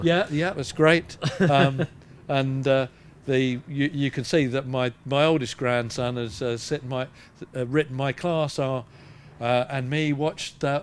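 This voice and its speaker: The delivery moves at a fairly slow pace. Intonation stays fairly even. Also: man, medium pitch for a man. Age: 60s. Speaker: charity fundraiser, Rotarian. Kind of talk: interview answer. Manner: hesitant, many fillers.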